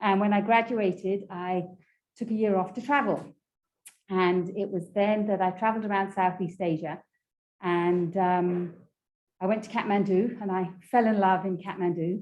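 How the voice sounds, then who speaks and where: With an English accent, a woman speaks at a medium pitch and moderate pace, using fairly even intonation and long, frequent pauses. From England. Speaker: graduate student presenter. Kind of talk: informal presentation. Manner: conversational, with fillers.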